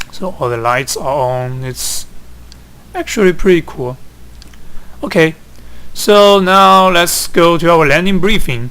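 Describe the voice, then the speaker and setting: Over noticeable background noise, a man with a Chinese accent talks at a high pitch and a fairly slow pace, with lively intonation and long, frequent pauses. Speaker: flight simulator hobbyist. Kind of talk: tutorial. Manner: halting.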